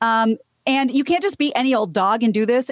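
A woman at a fairly quick pace with ordinary pitch variation, over a quiet background. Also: dry sound with no echo. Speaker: news co-host. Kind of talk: news reading. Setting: studio. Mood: light, amused. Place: home room. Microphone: studio mic.

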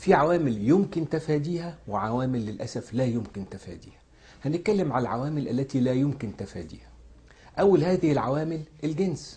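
Somewhat breathy and fairly high-pitched, this man's voice has a dark, mellow tone. He talks at a moderate pace with lively intonation. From Egypt. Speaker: cancer surgeon. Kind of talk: health education talk. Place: office.

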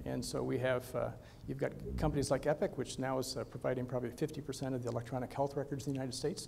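A man talks at a very fast pace, his pitch medium with vocal fry. His intonation stays monotone and flat. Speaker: physician and health tech executive. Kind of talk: conference presentation. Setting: stage with audience.

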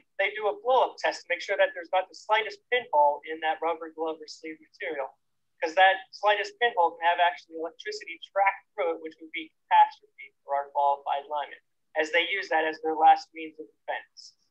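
A man's high-pitched voice with ordinary pitch variation, at a fairly quick pace against a quiet background. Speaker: presenter. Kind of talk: safety demonstration presentation. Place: open country.

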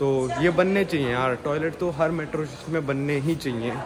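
A man's pitch moves an ordinary amount while noticeable background noise plays behind him. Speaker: travel vlogger. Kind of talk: casual vlog chat. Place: station. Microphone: phone near.

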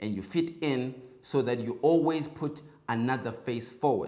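Ordinary pitch variation in a male voice, set against a quiet background. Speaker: political commentary host. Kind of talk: commentary. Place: studio. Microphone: lapel.

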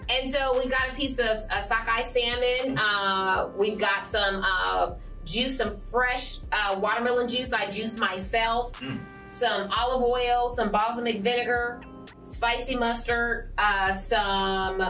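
A woman at a fairly slow pace with fairly even intonation, faint music in the background. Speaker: cooking show host. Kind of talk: tutorial. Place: studio.

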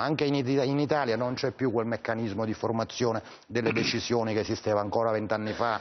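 A man speaks with ordinary pitch variation. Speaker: political journalist. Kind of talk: TV political debate. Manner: halting. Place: studio. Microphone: lapel.

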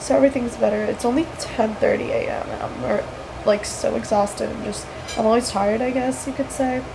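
Noticeable background noise sits behind a woman speaking at a medium speed. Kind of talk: casual vlog chat. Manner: tired, nasal voice after nose surgery. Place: home room. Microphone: webcam.

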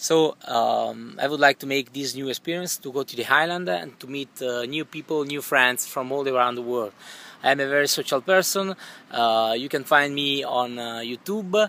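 Speaking at a moderate pace in an Italian accent, this voice has a bright, sharp tone, ordinary pitch variation and big swings in loudness, with a dry sound with no echo. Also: man, fairly high pitch for a man. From northern Italy, Milan; northern Italy. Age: 30s. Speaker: YouTuber, contest applicant; YouTuber. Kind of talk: audition video. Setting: outdoors by a swimming pool. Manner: halting, many fillers. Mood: relaxed, laid-back. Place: garden. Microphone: phone near.

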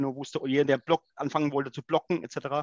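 A man talks fairly quickly in a fairly high voice, the sound dry with no echo and the background quiet. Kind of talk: discussion. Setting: video call. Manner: halting, repeats words. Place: home room. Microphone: headset.

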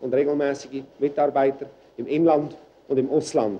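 A man talks at a fairly slow pace with a dark, mellow tone. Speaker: newspaper editor-in-chief. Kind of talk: 1965 documentary film narration, statement to camera about his job. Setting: office, newsroom. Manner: formal, measured, businesslike.

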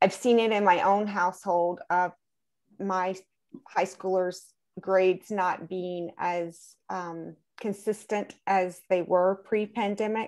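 Against a quiet background, a woman speaks very slowly in a monotone, flat intonation. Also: medium pitch for a woman. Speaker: school board member. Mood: concerned, earnest. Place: home room. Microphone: video call.

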